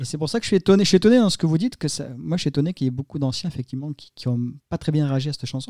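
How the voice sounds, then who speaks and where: A man talks very fast at a fairly high pitch, his dark, mellow tone carried by lively intonation in a dry, close sound with no echo. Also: very clean recording, silent background. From southern France. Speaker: podcast host. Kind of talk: casual chat.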